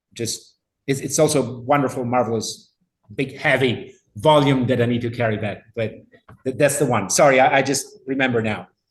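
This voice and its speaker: Somewhat breathy and in an Italian accent, the voice moves at a moderate pace with fairly even intonation. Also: man, medium pitch for a man. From Italy. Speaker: linguistics professor. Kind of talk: lecture Q&A. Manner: halting.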